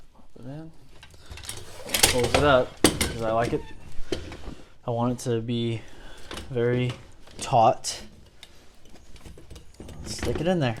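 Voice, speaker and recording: A man speaks at a fairly slow pace in a medium pitch, his intonation fairly even, with noticeable background noise behind him. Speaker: DIY tutorial host. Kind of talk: casual how-to talk to camera. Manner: stuttering, audible breathing.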